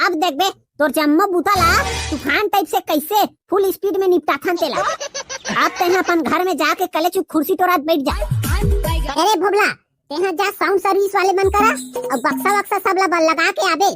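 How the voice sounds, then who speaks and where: Delivered at a moderate pace, a cartoonish character voice breaks up its lines with long, frequent pauses. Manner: loud, bossy, slangy.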